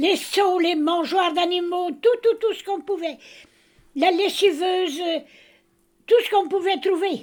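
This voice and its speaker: In a Breton accent, a woman speaks at a fairly slow pace with an extremely high pitch, ordinary pitch variation and long, frequent pauses. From Brittany, Morbihan. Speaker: grandmother telling memories. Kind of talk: casual chat. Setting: family meal at home. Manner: hesitant.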